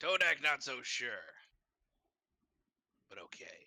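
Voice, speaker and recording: A man uses a raspy, put-on character voice and speaks at a fairly slow pace. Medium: actual play. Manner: terse, broken speech.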